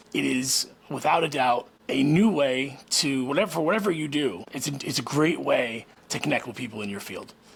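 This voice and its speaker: Noticeable background noise accompanies a man talking at a moderate pace with a fairly high pitch and lively intonation. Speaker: podcast host and former restaurant owner. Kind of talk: casual vlog monologue. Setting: garage at home being turned into a studio. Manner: mumbles at times.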